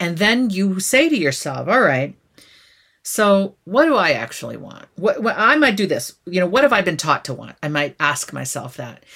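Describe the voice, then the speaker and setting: Woman at a moderate pace, medium pitch, bright, sharp tone with vocal fry, very wide pitch swings and big swings in loudness, in a very clean recording with a silent background. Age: 50s. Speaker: author and former university dean. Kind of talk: interview.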